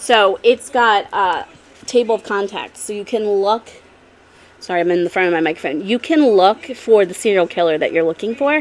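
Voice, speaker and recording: At a medium pitch, a woman talks at a fairly slow pace with ordinary pitch variation. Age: 30s. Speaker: YouTube vlogger. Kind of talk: casual vlog talk to camera. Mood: warm, grateful, emotional. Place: home room. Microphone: studio mic.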